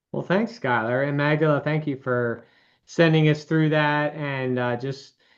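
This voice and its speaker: The speaker has a Baltimore accent. The background is quiet. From Baltimore, Maryland. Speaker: financial advisor. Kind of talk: webinar presentation.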